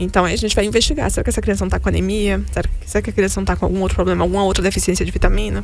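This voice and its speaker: Amid audible room echo and background music, a woman talks very fast with hardly any pauses. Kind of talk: live show interview.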